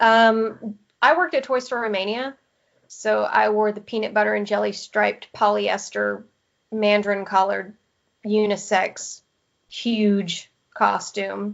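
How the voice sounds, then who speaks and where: In a Southern US accent, a woman speaks at a fairly slow pace, her medium pitch held in fairly even intonation. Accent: Southern American twang. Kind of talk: podcast interview answer.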